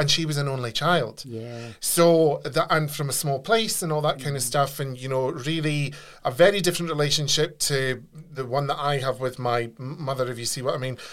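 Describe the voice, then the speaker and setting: A man speaks with an unremarkable speaking voice. His pace is fairly quick. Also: fairly high pitch for a man, ordinary pitch variation. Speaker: podcast host. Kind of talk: casual interview.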